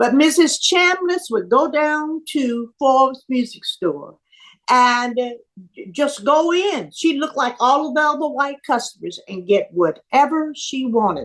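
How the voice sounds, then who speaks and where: Speaking at a fairly slow pace, a woman with a high pitch uses lively intonation. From US South, Birmingham, Alabama. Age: 70s. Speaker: civil rights activist. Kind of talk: interview.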